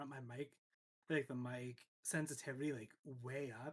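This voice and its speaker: A man is speaking. His voice is soft-spoken. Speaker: streamer. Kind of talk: casual chat. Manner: halting.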